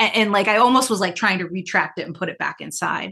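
Animated and bright, sharp in tone, a woman talks at a fairly quick pace and medium pitch with ordinary pitch variation. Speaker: former corporate CEO and career coach. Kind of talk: podcast interview.

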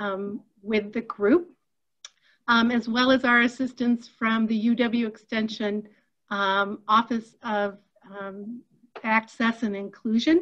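A woman's very slow speech full of long, frequent pauses, over a quiet background. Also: fairly even intonation. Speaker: webinar host. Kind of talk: webinar introduction. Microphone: video call.

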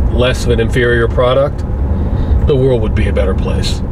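A man speaks at a fairly quick pace. Noticeable background noise is present. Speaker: road trip vlogger. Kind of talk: casual vlog chat. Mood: jokey, mildly ranting. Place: car. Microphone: phone near.

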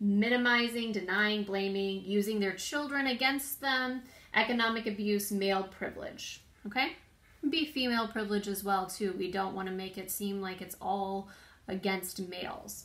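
Her pitch varying in an ordinary way, a woman speaks at a moderate pace. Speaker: prevention educator. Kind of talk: informational talk. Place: home room. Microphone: phone near.

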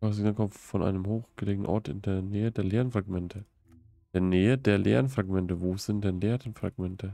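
Man with an ordinary speaking voice, fairly low pitch, fairly quick pace and fairly even intonation. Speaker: gaming streamer. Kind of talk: live stream gameplay commentary. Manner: casual, laughs often.

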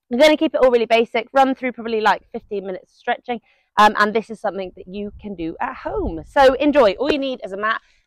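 A woman talks very fast with lively intonation and big swings in loudness, her voice dry with no echo over a quiet background. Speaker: fitness instructor. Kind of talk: tutorial. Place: garden. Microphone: lapel.

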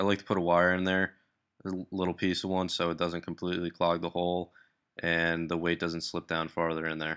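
A man talks fairly quickly in a very deep, low pitch. His intonation stays monotone and flat against a quiet background. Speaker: hobby lure maker. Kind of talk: tutorial voice-over. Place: workshop. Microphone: phone near.

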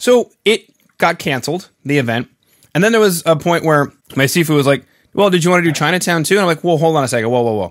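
A man with a Canadian accent talks very fast with lively intonation against a quiet background. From Canada. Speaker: podcast host. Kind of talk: casual interview chat. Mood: amused storytelling. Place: home room. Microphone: webcam.

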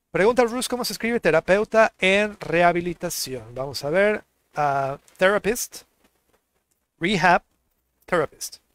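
Pitched high for a man, this male speaker moves at a fairly slow pace with long, frequent pauses and lively intonation, in a dry sound with no echo. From Mexico. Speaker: English teacher. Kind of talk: online language lesson. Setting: live stream. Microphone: headset.

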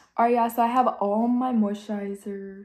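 A woman talks at a fairly quick pace with fairly even intonation. Her voice is somewhat breathy. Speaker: beauty vlogger. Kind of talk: tutorial. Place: home room. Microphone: phone near.

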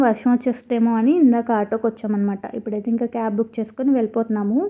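With a fairly high pitch, a woman talks in a monotone, flat intonation. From Eluru, West Godavari, Andhra Pradesh. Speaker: lifestyle vlogger, homemaker and mother. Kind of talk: vlog voiceover narration.

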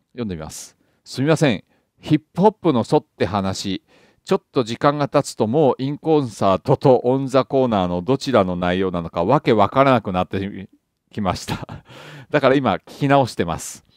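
A normal speaking voice with lively intonation and big swings in loudness comes through a dry, close sound with no echo. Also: man, medium pitch for a man, moderate pace. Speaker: jazz YouTuber and author. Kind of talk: casual monologue answering a viewer comment. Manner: chatty, conversational, humorous.

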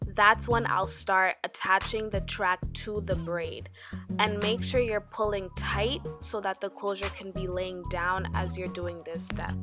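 Music runs behind the speech. A woman's words come at a fairly slow pace. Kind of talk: hair tutorial voiceover.

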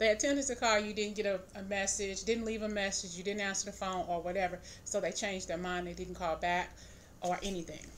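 A woman talking at a fairly quick pace over light background noise. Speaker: tarot reader. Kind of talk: tarot reading commentary. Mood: calm, thoughtful. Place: home room. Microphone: phone near.

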